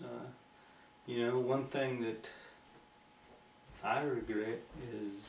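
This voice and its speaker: With a West Virginia accent, a man talks at a fairly slow pace in a monotone, flat intonation over noticeable background noise. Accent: West Virginia, Appalachian. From Nicholas County, West Virginia. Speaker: Air Force veteran. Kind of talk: interview answer. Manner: casual, conversational.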